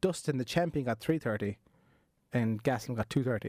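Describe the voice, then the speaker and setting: His pitch sits in the middle range, typical for a man. Its rise and fall is ordinary. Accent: Irish. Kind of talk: casual podcast conversation.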